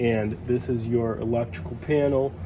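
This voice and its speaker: A man talks fairly slowly with ordinary pitch variation while noticeable background noise goes on around him. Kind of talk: casual walkthrough tutorial. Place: home room. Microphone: phone near.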